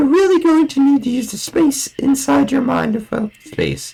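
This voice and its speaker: Put-on character voice from a man, pitched extremely high, delivered at a moderate pace. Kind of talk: horror narration. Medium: game stream. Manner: slow, dramatic.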